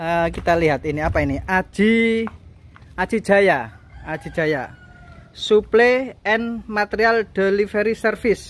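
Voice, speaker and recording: The speech moves at a very slow pace. The sound is dry, with no echo. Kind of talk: casual showcase commentary. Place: street. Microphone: phone near.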